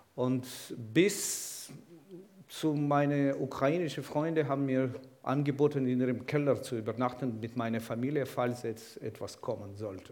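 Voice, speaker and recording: A man speaks at a fairly slow pace in a medium pitch, with ordinary pitch variation and audible room echo. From Ukraine, Kyiv. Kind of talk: sermon.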